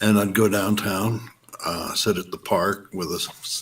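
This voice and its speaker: With noticeable background noise behind him, a man talks at a fairly slow pace in a fairly low pitch. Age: 70s. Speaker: radio host. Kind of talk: casual chat.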